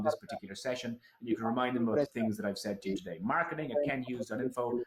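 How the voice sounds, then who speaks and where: With an Irish accent and an animated tone, a man at a medium pitch talks at a very fast pace over noticeable background noise. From Ireland. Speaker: keynote speaker on consumer behaviour. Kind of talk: conference talk. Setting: online event.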